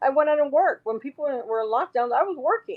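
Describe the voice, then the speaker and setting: An animated woman's voice at a fairly quick pace, with a West Coast US accent. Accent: General American, West Coast. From Los Angeles, California. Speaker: social media commentator. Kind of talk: interview.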